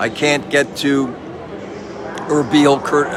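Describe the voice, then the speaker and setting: Amid noticeable background noise and audible room echo, a man speaks at a fairly slow pace. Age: 70s. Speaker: pastor and missionary. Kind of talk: casual video update. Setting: train station. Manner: animated.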